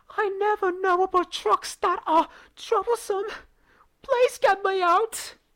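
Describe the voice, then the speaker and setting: In a put-on character voice, a man speaks at a fairly slow pace with an extremely high pitch. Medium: read story.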